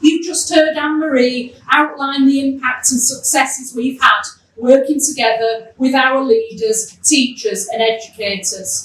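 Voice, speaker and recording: Hardly pausing, this speaker talks at a fairly slow pace in a Yorkshire accent, with ordinary pitch variation. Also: woman, high pitch for a woman. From Yorkshire, northern England (Keighley). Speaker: education programme official. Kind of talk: welcome speech. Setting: event hall with live audience.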